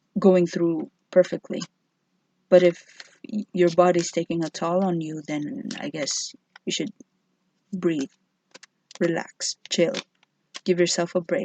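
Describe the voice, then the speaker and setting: At a fairly slow pace with long, frequent pauses, a woman with a dark, mellow tone and ordinary pitch variation shows big swings in loudness, in a dry, close sound with no echo. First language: not English. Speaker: tarot reader. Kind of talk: tarot reading video. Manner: halting.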